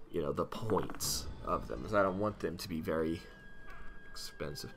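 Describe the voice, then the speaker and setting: Music plays behind a man with a very deep, low pitch. He talks at a moderate pace with lively intonation. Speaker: gaming video creator. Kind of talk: gameplay commentary. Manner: mumbling; halting.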